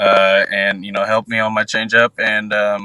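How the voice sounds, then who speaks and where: A man with an American accent talks in a fairly low pitch and a bright, sharp tone. His intonation is monotone and flat, and the sound is dry and close with no echo. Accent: Southern twang, stronger after time at home. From US South (Arkansas). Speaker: professional baseball pitcher prospect. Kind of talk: interview. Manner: halting, many fillers.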